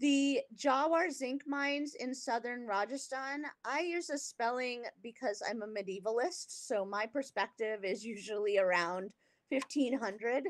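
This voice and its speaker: In a West Coast accent, a woman speaks at a high pitch with lively intonation. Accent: West Coast California English. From US West Coast, California. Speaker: art historian; guest lecturer. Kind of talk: lecture. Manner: slow; hesitant, many fillers. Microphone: video call.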